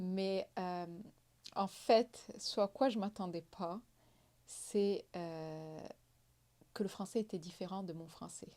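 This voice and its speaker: A woman at medium pitch speaks at a very slow pace in a dark, mellow tone, with ordinary pitch variation, long, frequent pauses and big swings in loudness. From Morocco. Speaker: entrepreneur. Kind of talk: interview.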